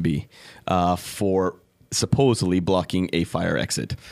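Fairly low in pitch, a man talks with a Californian accent. The recording is very clean, with a silent background. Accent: American (Californian). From California (San Diego). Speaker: entrepreneur, cafe and bar owner. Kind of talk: interview. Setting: studio. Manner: halting, many fillers.

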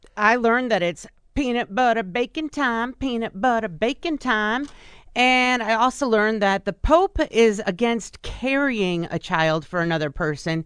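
Against a quiet background, a plain, everyday voice moves at a moderate pace with lively intonation. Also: woman, fairly high pitch for a woman. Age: 40s. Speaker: radio co-host and news reader. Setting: radio studio.

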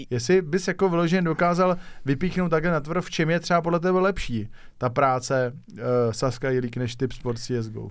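A man speaks at a moderate pace in an ordinary speaking voice, his pitch fairly high, on a very clean recording with a silent background. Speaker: podcast host. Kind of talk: interview.

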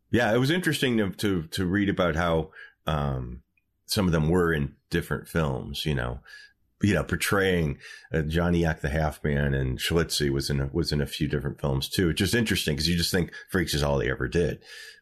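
A man with an American accent talks fairly quickly in a very deep, low voice with vocal fry. His loudness stays very even against a quiet background. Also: ordinary pitch variation. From Michigan. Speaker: podcast host and historian. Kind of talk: casual chat.

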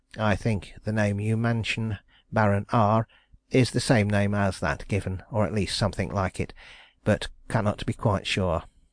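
In a normal speaking voice, a man talks at a moderate pace with fairly low pitch and fairly even intonation over a quiet background.

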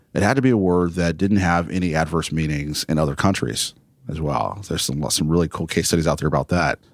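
On a very clean recording with a silent background, a man with an American accent rattles along at a very fast pace, his voice showing vocal fry. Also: ordinary pitch variation. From Texas (El Paso). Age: 40s. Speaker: tech founder. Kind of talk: casual interview. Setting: high-rise location downtown.

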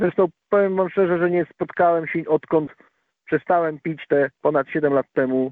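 An unremarkable speaking voice from a man, fairly high in pitch, at a moderate pace with fairly even intonation. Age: 40s. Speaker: recovering alcoholic guest. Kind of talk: testimony. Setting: phone call.

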